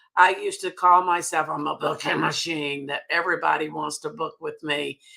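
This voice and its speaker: In a Southern US accent, a woman speaks with a bright, sharp tone. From US South. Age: 80s+. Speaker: sales director. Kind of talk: interview.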